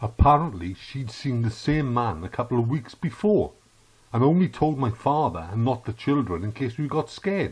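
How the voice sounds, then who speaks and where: With a Welsh accent, a man speaks at a moderate pace in a somewhat breathy voice. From South Wales. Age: 60s. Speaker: podcast host. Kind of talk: opinion monologue.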